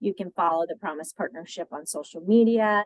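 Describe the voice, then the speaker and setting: A woman with an ordinary speaking voice talks at a fairly quick pace with ordinary pitch variation, the sound dry and close with no echo. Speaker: childcare policy advocate. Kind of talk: presentation.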